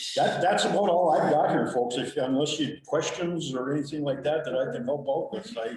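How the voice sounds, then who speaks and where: The speech comes with hardly any pauses, against noticeable background noise and audible room echo. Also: man, fairly high pitch for a man, ordinary pitch variation. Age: 60s. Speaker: county maintenance worker, retiring. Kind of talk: committee meeting report. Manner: halting, repetitive.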